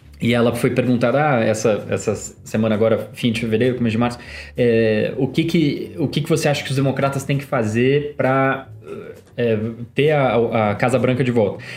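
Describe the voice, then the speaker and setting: The voice moves at a moderate pace with fairly even intonation and very even loudness. Audible room echo is present. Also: man, medium pitch for a man. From Brazil, São Paulo (Zona Norte). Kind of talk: casual chat.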